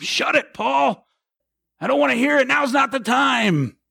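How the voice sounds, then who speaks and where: Shouting in a gruff put-on character voice, a man speaks at a moderate pace at an extremely high pitch with very wide pitch swings. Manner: yelling, impatient.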